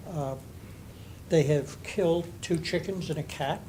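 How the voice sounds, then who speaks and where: Audible room echo carries a man's fairly high-pitched voice as he speaks at a fairly slow pace with fairly even intonation. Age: 80s+. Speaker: resident speaking at public comment. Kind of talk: public comment. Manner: halting.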